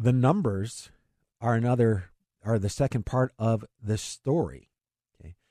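Over a quiet background, a man talks at medium pitch in a dark, mellow tone with ordinary pitch variation. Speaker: financial radio host. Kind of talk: radio talk show about investing. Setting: radio studio broadcast. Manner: fast talker, excitable.

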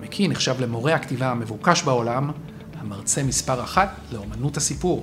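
Over noticeable background noise, a man with an Israeli accent speaks at medium pitch. His pace is moderate, with ordinary pitch variation. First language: Hebrew. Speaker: podcast host interviewer. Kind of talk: interview. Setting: hotel interview.

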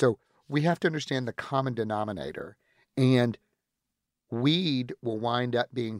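A man with an American accent at a moderate pace, with lively intonation. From US Deep South, Florida panhandle near Pensacola. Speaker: entrepreneur and philanthropist. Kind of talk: casual interview. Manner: flamboyant, witty.

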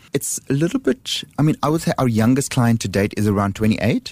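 The voice has a South African accent and lively intonation at a fairly quick pace. The sound is dry and close, with no echo. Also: man. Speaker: handbag designer. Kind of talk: radio interview. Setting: studio.

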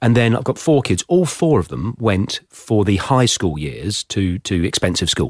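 The sound is dry and close with no echo as a man speaks at a fairly low pitch with an English accent. His pitch swings very widely, at a moderate pace with hardly any pauses. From England (Somerset family, born Plymouth). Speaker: podcast host. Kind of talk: interview.

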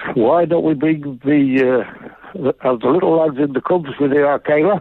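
There is noticeable background noise as a man talks. His pace is moderate and his pitch variation ordinary. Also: very even loudness. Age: 80s+. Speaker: caller. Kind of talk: phone-in story. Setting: phone call.

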